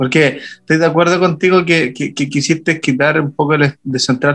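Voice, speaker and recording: At a moderate pace, a man talks in an ordinary speaking voice with a fairly high pitch and ordinary pitch variation. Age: 30s. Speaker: pastor. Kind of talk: casual chat.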